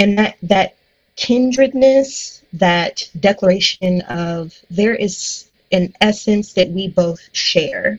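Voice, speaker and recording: Somewhat breathy and medium in pitch, a woman speaks at a very slow pace with ordinary pitch variation. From US Midwest, Cleveland, Ohio. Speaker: pastor and licensed counselor. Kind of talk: casual interview.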